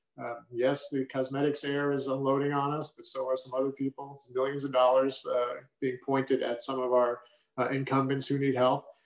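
Amid audible room echo and a quiet background, a man talks at a fairly quick pace with monotone, flat intonation and big swings in loudness. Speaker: state senator. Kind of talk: rally speech. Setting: virtual event video. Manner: earnest, fired-up, urging. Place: home room. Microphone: webcam.

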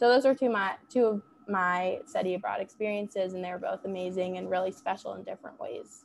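Talking at a fairly quick pace with big swings in loudness, a woman is heard over light background noise. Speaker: student peer advisor; panelist. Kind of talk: casual chat. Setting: video call. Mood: friendly, enthusiastic. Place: home room. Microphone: earbuds.

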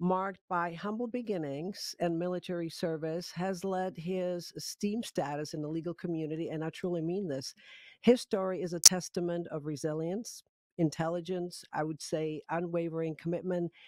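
In a dry recording with no echo and a quiet background, a woman speaks at a fairly low pitch and a moderate pace with ordinary pitch variation. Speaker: podcast host. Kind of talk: interview. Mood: warm, enthusiastic. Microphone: studio mic.

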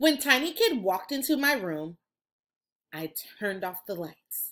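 Speaking at a fairly slow pace, a woman shows big pitch swings and a fairly bright tone. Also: medium pitch for a woman.

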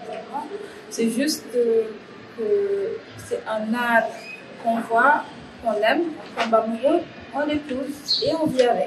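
A woman's fairly high voice, very slow, with lively intonation and noticeable background noise. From Senegal. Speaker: graffiti artist and spoken word artist. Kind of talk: interview answer. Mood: calm, reflective.

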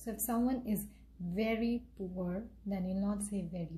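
A woman with an Indian accent speaks at a fairly slow pace, somewhat breathy. Her tone is dark and mellow, with fairly even intonation. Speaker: English teacher. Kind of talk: tutorial.

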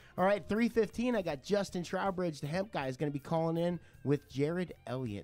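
A man talks while music plays faintly behind him. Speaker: radio show host. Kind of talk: radio show host chat. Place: studio. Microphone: studio mic.

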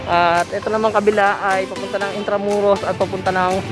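Clear music plays in the background as someone speaks at a moderate pace in a dry sound with no echo. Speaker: vlogger. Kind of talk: casual vlog commentary. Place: street. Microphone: phone near.

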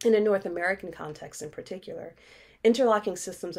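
A woman talks at a very fast pace with fairly even intonation. The background is quiet. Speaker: racial justice educator and executive director. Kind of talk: keynote speech. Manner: formal. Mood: earnest and expressive. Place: home room. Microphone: webcam.

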